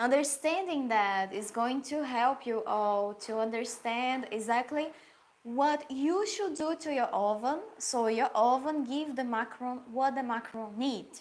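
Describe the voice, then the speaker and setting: With a Portuguese accent, a woman speaks at a fairly slow pace in a high pitch, with ordinary pitch variation. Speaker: pastry chef and baking teacher. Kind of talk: live Q&A tutorial. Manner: halting, searching for English words.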